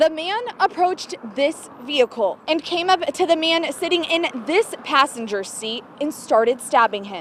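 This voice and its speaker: Amid noticeable background noise, a woman with a high voice speaks at a moderate pace, her pitch swinging very widely. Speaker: TV news reporter and anchor. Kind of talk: TV news report.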